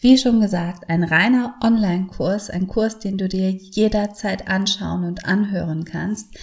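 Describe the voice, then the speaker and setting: A woman speaks at a very slow pace and a medium pitch. Her voice is somewhat breathy, with ordinary pitch variation. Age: 40s. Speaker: podcast host and yoga teacher. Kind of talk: casual monologue with course promotion. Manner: animated.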